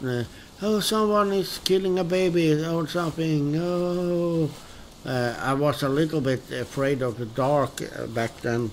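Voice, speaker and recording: A man with a Swedish accent, very slow pace and lively intonation. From Sweden. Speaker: gaming streamer. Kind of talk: casual gameplay commentary. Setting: live stream. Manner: halting, many fillers.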